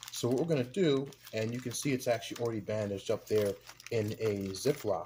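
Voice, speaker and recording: Fairly quick speech from a man at medium pitch, ordinary pitch variation throughout, noticeable background noise behind. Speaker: dumpster diving and scrap metal video creator. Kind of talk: casual tutorial unboxing. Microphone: camera's built-in microphone.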